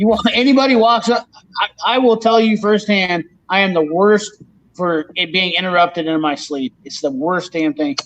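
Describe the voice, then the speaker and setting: A man speaks loudly with an American accent and a high pitch. His intonation is lively, and his pace is moderate. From northeastern Iowa. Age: 40s. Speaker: mechanic and tool channel host. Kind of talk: casual live stream chat. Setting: live stream video call. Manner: animated.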